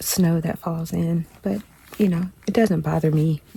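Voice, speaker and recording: Noticeable background noise surrounds this recording. In it, a woman is whispering fairly slowly. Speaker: hunter. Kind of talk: casual vlog talk to camera. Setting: outdoors, hunting blind in snow. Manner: whispered.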